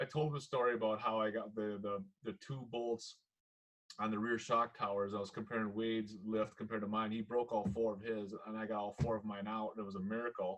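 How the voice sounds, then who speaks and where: This speaker has a Minnesota accent and talks at a fairly quick pace. The intonation stays monotone and flat. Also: man, fairly low pitch for a man. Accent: Minnesotan (Upper Midwest). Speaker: podcast host. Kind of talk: casual chat. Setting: call.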